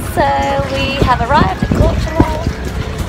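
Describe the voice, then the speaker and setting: Clear music plays in the background of a dry sound with no echo. The speech moves at a fairly slow pace. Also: woman. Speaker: travel vlogger. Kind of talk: casual vlog chat. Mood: cheerful, relaxed. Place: boat. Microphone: phone near.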